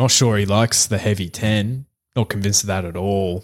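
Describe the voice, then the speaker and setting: The recording is very clean, and the background is silent. A man talks in an Australian accent. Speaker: horse racing podcast host. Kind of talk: casual chat.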